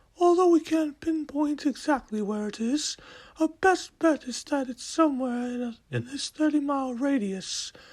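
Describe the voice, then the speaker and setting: Speaking at a moderate pace, this put-on character voice sits high in pitch. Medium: audio drama. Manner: formal, report-like.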